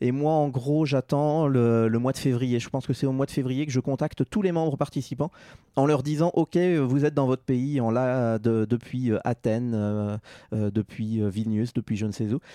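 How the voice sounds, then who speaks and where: At a fairly slow pace, a man speaks in a medium pitch with a dark, mellow tone. His pitch variation is ordinary, and the sound is dry and close with no echo. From Normandy, France. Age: 30s. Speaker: broadcast engineer. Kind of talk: interview. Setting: at home.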